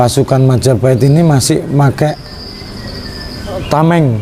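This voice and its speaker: With a Javanese accent, a man of medium pitch speaks with ordinary pitch variation amid noticeable background noise. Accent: Javanese Indonesian. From Central Java, Indonesia (Kudus). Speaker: Islamic religious study group leader. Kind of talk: interview.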